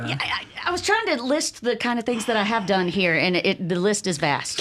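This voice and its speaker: A woman speaks at a moderate pace and medium pitch, with very wide pitch swings. Noticeable background noise sits behind her. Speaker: voiceover artist; public radio announcer.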